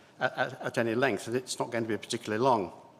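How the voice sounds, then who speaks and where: A man with an RP accent speaks at a fairly quick pace. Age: 70s. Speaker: church lawyer and synod member. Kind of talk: formal debate speech. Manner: formal; hesitant fillers.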